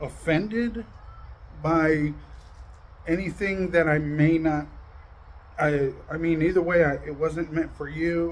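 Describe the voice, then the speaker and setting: Over noticeable background noise, a man with a fairly high pitch talks at a very slow pace, leaving long, frequent pauses, his intonation fairly even. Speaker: YouTube drama commentator. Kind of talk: casual monologue to viewers. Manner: loud; aggressive-sounding tone.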